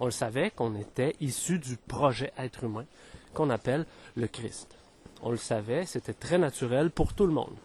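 A man's somewhat breathy voice comes through with a dry, close sound and no echo. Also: medium pitch for a man, ordinary pitch variation, moderate pace. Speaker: spiritual podcaster. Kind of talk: spiritual monologue. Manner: hesitant, many fillers.

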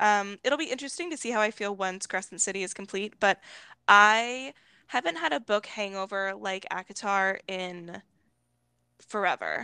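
A woman's bright, sharp voice at medium pitch, moderate in pace with ordinary pitch variation, in a dry, close sound with no echo. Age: 20s. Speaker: book podcast co-host. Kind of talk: casual chat.

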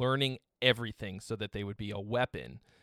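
Here a man has an unremarkable speaking voice at a medium pitch. He talks at a fairly quick pace. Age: 30s. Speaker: guitarist and music gear youtuber. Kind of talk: casual chat. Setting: video call.

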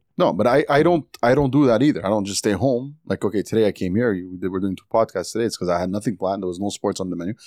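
Speaking very fast with lively intonation and big swings in loudness, a man with a fairly low pitch comes through a dry, close sound with no echo. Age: 40s. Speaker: guest. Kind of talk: casual chat.

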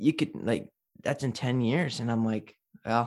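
A man speaks in an ordinary speaking voice at a medium pitch, with fairly even intonation and a moderate pace. The recording is very clean, with a silent background. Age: 20s. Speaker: mortgage agent. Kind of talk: casual chat.

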